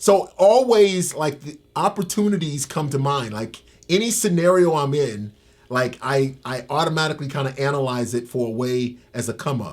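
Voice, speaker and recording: Speaking at a moderate pace, a man uses lively intonation and a fairly high pitch. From Tampa, Florida. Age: 50s. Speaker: ex-convict. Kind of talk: interview. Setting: in-person interview. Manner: halting, repeats words.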